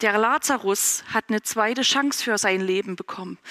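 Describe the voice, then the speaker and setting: A woman's fairly high-pitched, bright, sharp voice at a very slow pace, with ordinary pitch variation and a dry, close sound with no echo. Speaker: preacher. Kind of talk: sermon, addressing a congregation in a warm, conversational way. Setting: church. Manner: conversational, informal, relaxed; earnest and encouraging, with a closing blessing.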